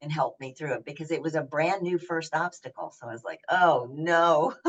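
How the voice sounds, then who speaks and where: A woman speaks with an American accent. Her pitch is very deep and low. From US South, Knoxville, Tennessee. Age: 70s. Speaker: senior athlete and fitness speaker. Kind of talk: interview.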